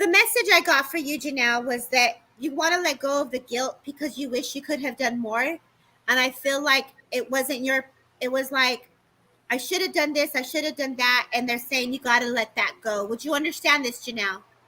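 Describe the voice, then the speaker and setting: A woman speaks in a raised, projected voice with a bright, sharp tone. Her pitch is high, with ordinary pitch variation. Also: moderate pace. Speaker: psychic medium. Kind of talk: live psychic reading. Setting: livestream.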